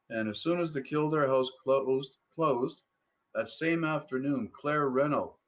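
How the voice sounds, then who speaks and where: Speaking at a medium speed, a man talks. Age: 60s. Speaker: former pub owner. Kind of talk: interview. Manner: hesitant, many fillers.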